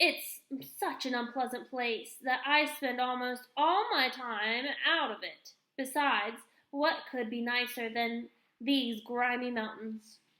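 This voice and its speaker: A woman uses a put-on character voice at a high pitch, cackling. Her pace is fairly slow. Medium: read story. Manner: contrary, mocking.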